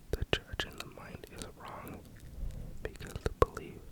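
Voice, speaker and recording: A whisper with noticeable background noise behind it. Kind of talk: audiobook-style reading of a self-help book. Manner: whispered, slow.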